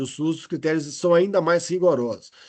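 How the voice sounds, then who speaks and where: This man speaks at a fairly quick pace, and the background is quiet. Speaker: medical lecturer, cardiology. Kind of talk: lecture. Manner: fast; halting, many repetitions.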